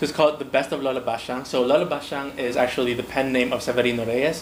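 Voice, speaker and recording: A man's very fast speech amid noticeable background noise and audible room echo. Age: 20s. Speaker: book vlogger. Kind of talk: casual chat. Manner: animated.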